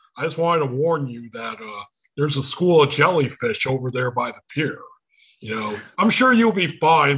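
This man's voice has a bright, sharp tone and a fairly high pitch. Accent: Michigan. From Michigan, US. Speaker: podcast host. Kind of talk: casual chat. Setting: video call.

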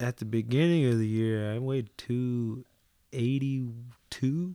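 A man speaks very slowly at a medium pitch. His tone is dark and mellow. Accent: American. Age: 20s. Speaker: actor and jiu-jitsu athlete. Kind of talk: casual interview chat.

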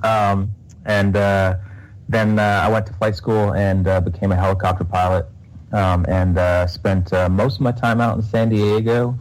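A man with an American accent speaks fairly slowly at a fairly low pitch. His loudness is very even and his intonation fairly even. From Texas. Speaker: Navy reservist and real estate investor. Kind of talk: interview. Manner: halting, many fillers.

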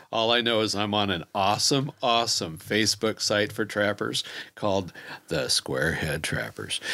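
This man talks at a moderate pace with a fairly low pitch, some vocal fry and a bright, sharp tone. His intonation is lively while his loudness stays very even. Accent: American. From Kansas City, US Midwest. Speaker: trapper. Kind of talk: casual chat. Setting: studio.

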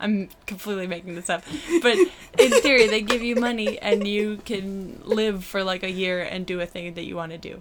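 A woman with an American accent at a moderate pace, fairly even intonation and big swings in loudness, over noticeable background noise. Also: medium pitch for a woman. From Brockton, Massachusetts. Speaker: comedian. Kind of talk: casual chat.

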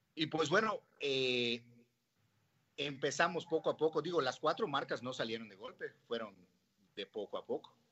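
A fairly high-pitched man with lively intonation, moderate pace and long, frequent pauses. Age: 30s. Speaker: restaurant entrepreneur. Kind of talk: interview. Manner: hesitant, many fillers.

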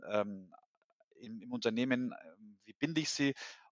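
The clip features an ordinary speaking voice at a moderate pace. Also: man. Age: 40s. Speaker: HR consultant and agile coach. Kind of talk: casual interview.

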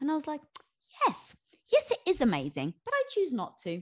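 A woman is talking. Her pace is fairly quick. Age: 40s. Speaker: author. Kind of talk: casual chat.

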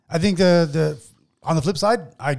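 Lively in intonation, a man with an unremarkable speaking voice talks at a moderate pace. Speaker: podcast host. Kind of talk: casual banter podcast chat. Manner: casual, joking, profane.

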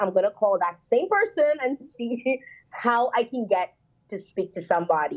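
Her voice is high-pitched for a woman, and she talks at a moderate pace. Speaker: journalist and podcast host. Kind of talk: casual interview chat.

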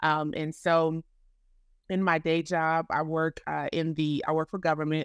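In a very clean recording with a silent background, a woman speaks with an American accent at a very deep, low pitch. Her intonation is monotone and flat, and the sound is dry and close with no echo. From Florida. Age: 40s. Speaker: ministry founder. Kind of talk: casual interview.

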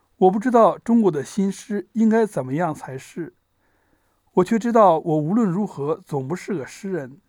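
Recorded very cleanly over a silent background, a man with a high pitch talks at a moderate pace with lively intonation. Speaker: audiobook narrator. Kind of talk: literary audiobook reading, essay preface read aloud in a measured, reflective way. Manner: measured; formal.

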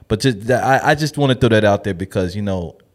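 A man with a normal speaking voice and fairly low pitch uses ordinary pitch variation. The recording is very clean, with a silent background. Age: 40s. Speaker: restaurant entrepreneur. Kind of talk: casual interview.

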